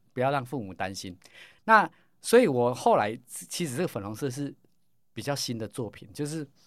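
This man talks at a moderate pace and medium pitch, with lively intonation and big swings in loudness. He leaves long, frequent pauses, and the recording is very clean with a silent background. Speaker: pharmacy professor and probiotics researcher. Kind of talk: interview. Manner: animated.

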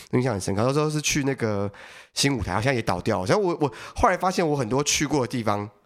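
The voice races at a very fast pace with very wide pitch swings, on a very clean recording with a silent background. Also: man, medium pitch for a man. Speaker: stand-up comedian. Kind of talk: casual chat.

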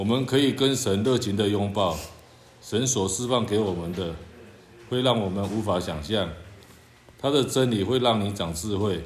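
With audible room echo, a man talks at a moderate pace and a fairly low pitch, showing ordinary pitch variation and long, frequent pauses. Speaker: church member. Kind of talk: reading aloud.

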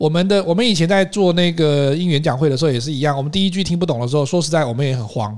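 A man's fairly high voice at a very fast pace, with hardly any pauses and ordinary pitch variation. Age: young. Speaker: podcast co-host, English speaking coach. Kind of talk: casual chat.

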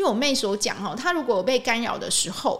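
A woman with a Taiwanese accent speaks fairly quickly at a high pitch with very wide pitch swings. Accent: Taiwanese Mandarin. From Taiwan, Changhua. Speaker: podcast host and energy healing teacher. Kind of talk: casual monologue.

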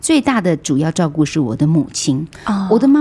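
Very wide pitch swings from a woman talking at a fairly quick pace, with noticeable background noise. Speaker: veteran media personality and radio broadcaster. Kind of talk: interview about caregiving.

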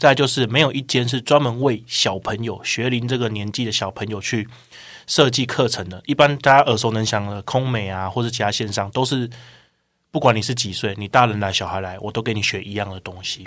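Speaking fairly quickly with a Taiwanese accent, a man keeps a medium pitch and ordinary pitch variation on a very clean recording with a silent background. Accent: Taiwanese Mandarin. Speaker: online course sales manager. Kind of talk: podcast interview.

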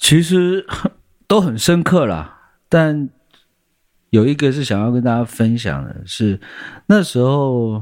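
A man speaks at a very slow pace, his pitch swinging very widely, with long, frequent pauses. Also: medium pitch for a man. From Taiwan, Taipei. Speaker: singer-songwriter. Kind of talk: interview.

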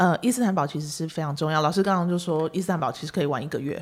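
A woman talking at a very fast pace on a very clean recording with a silent background. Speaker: podcast host and travel agency owner. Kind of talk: casual interview. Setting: studio. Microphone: professional microphone.

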